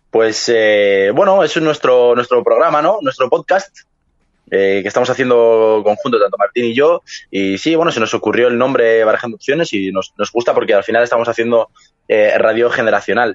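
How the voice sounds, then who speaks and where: With a Madrid accent, a man speaks at a medium pitch. His intonation is lively and his pace moderate. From Madrid, Spain. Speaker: podcast co-host. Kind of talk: casual chat.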